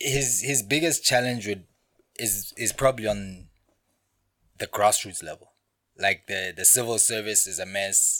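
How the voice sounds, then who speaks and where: A man with a Lesotho accent speaks at a fairly low pitch with ordinary pitch variation and a bright, sharp tone, recorded very cleanly against a silent background. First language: Sesotho. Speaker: podcast guest. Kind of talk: casual chat.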